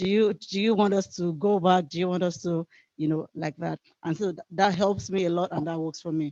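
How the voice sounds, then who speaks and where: With a dark, mellow tone and a fairly low pitch, a woman talks at a fairly quick pace and fairly even intonation in a dry, close sound with no echo. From outside the United States. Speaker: HIV advocate, workshop presenter. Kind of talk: workshop presentation. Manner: many filler ums, hesitant.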